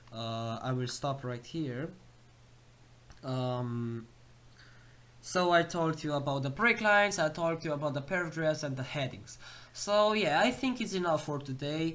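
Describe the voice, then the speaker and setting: Someone with a non-native accent speaks at a fairly slow pace, with long, frequent pauses. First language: not English. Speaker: programming tutorial youtuber. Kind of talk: tutorial. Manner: halting, many fillers.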